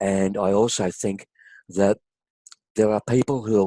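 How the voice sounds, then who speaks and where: In an Australian accent, the speaker talks at a moderate pace with fairly even intonation and a dark, mellow tone, recorded with a dry, close sound and no echo. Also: man. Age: 60s. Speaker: health consumer, kidney transplant recipient. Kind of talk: interview testimony.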